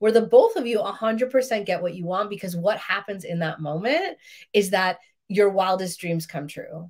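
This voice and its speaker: Medium pitch from a woman at a moderate pace, with ordinary pitch variation, on a very clean recording with a silent background. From Queens, New York. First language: Russian. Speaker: relationship coach. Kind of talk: live stream talk. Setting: live video stream.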